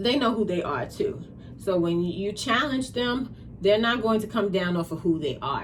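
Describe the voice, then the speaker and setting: With a slight New York accent, a woman talks at a moderate pace and medium pitch, her tone animated and her intonation lively, amid audible room echo. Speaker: tarot reader. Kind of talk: tarot reading.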